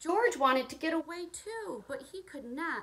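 This is a woman speaking. Her pitch swings very widely. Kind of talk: storybook read-aloud. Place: home room. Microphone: phone near.

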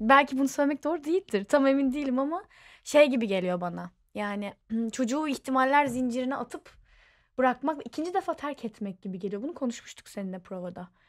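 A high-pitched woman talks at a fairly quick pace with very wide pitch swings, in a very clean recording with a silent background. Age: 20s. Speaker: stage and screen actress. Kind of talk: casual chat.

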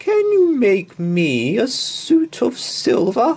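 A man does a put-on character voice at an extremely high pitch, with very wide pitch swings and a slow pace. His tone is slightly mellow, with a slightly husky edge.

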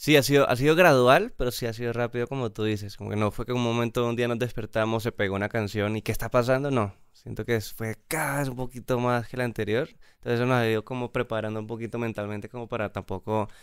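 Over a quiet background with a dry sound and no echo, a man talks very fast with fairly even intonation and hardly any pauses. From Colombia, Bogotá. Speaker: pop band musician; guest. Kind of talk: casual interview chat. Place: studio. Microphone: studio mic.

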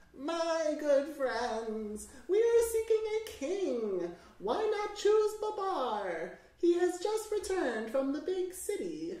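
In a put-on character voice, the speaker goes at a very slow pace, extremely high in pitch and shaky, with a slight echo.

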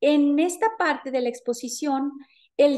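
In a Mexican accent, a woman speaks at a very slow pace with a high pitch and a dark, mellow tone. Her intonation is fairly even, and the background is quiet. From Mexico, Jalisco. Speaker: university lecturer and researcher; university lecturer. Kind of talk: conference presentation. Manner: formal. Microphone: webcam.

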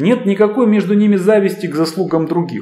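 A man speaking at a moderate pace, with audible room echo and light background noise. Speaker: lecturer on history. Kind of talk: lecture. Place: office. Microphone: camera far.

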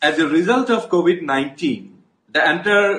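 A man speaks at a fairly slow pace in a bright, sharp tone. His pitch swings very widely, and audible room echo surrounds him. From India, Assam. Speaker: politician. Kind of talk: political statement to camera. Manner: formal. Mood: serious, concerned. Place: home room. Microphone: earbuds.

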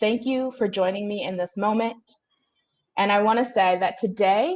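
The speaker is a woman with a fairly high pitch. Her pitch variation is ordinary. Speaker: discussion moderator. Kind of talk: moderated panel discussion. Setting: video call. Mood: solemn, earnest. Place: home room. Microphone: earbuds.

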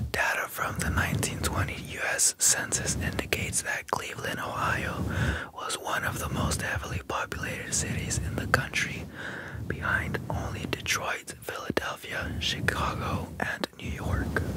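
A man is whispering. He keeps a moderate pace. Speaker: ASMR artist; ASMR creator. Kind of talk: ASMR sleep fact narration. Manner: whispered. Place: home room. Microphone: studio mic.

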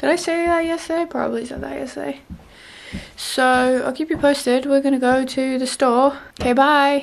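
Her voice high and her intonation fairly even, a woman speaks at a moderate pace in a weary tone. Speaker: vlogger. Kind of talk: casual vlog chat. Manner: weary, swollen-jawed post-surgery speech. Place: home room. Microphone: phone near.

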